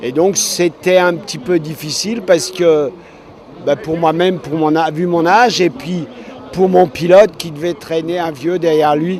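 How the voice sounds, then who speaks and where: A man with a high voice speaks at a fairly slow pace with ordinary pitch variation over noticeable background noise. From Alsace, France. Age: 70s. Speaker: blind tandem cyclist. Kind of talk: interview.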